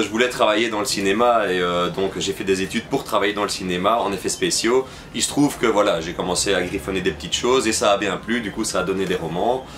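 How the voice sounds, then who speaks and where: Against noticeable background noise, a man with a fairly low pitch speaks at a fairly quick pace with hardly any pauses and ordinary pitch variation. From Belgium. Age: 30s. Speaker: novelist and film critic. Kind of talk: interview. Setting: film festival. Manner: hesitant, many fillers.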